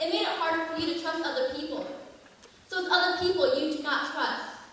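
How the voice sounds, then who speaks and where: Over noticeable background noise, a woman talks at a very fast pace in a raised, projected voice with a high pitch and fairly even intonation. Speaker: pageant contestant. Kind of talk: slam poetry performance.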